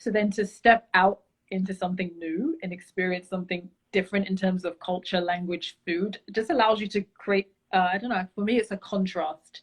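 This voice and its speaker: A somewhat breathy woman with a London accent speaks at a moderate pace and medium pitch. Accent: British (London). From London, England. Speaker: travel enthusiast, beauty brand founder. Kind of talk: casual interview chat.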